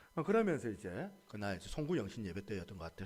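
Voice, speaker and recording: A man's voice with vocal fry, a fairly quick pace and very wide pitch swings. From Busan, Gyeongsang region, South Korea. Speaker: pastor. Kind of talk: sermon.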